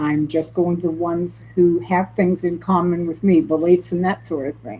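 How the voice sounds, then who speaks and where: Her tone is dark and mellow at a fairly low pitch. The woman speaks at a moderate pace. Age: 70s. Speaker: cooking channel host. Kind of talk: casual live stream chat.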